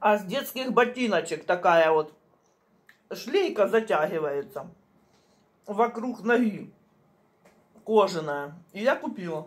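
Long pauses come often as a woman talks very slowly. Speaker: home vlogger. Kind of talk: casual vlog chat. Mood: relaxed, chatty. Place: kitchen. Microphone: phone near.

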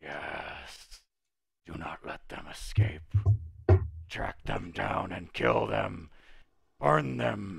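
In a put-on character voice, a man talks very slowly in a raspy, very deep, low pitch, leaving long, frequent pauses. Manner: menacing, commanding.

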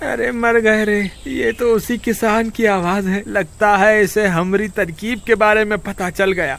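A man's put-on, whiny character voice, high-pitched with ordinary pitch variation, at a moderate pace with hardly any pauses. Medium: read story. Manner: panicky, whining.

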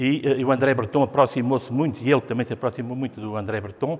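A man with a European Portuguese accent, fairly even intonation and a fairly quick pace. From Portugal. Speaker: art critic; art critic guide. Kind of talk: gallery talk; gallery talk lecture. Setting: museum gallery with audience. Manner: halting. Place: hall. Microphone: lapel.

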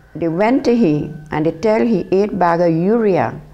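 Very slow, lively speech from a woman with a fairly low pitch, faint music in the background. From Trinidad. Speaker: former cane cutter. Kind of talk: testimony. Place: home room. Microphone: lapel.

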